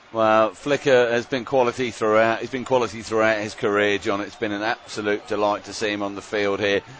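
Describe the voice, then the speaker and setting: A man with a fairly low pitch talks at a fairly quick pace, with hardly any pauses and fairly even intonation. There is noticeable background noise. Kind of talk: sports commentary, live colour commentary with jokes.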